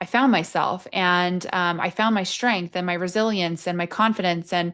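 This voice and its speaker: Against a quiet background, a woman talks at a moderate pace in an ordinary speaking voice of medium pitch with fairly even intonation. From England, Nottingham. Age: 30s. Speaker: army veteran and HR leader. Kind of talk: interview.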